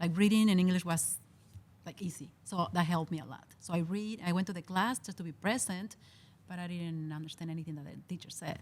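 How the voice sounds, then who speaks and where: The speaker talks at a very fast pace in a strong Spanish accent, somewhat breathy, with fairly even intonation. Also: woman. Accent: heavy Spanish. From Mexico. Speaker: mental health social worker. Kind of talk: casual interview.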